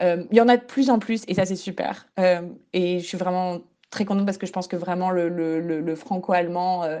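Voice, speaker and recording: Dark, mellow tone at a fairly quick pace with fairly even intonation against a quiet background. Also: woman, medium pitch for a woman. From central France, Bourges. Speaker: student. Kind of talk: testimony. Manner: halting, many repetitions.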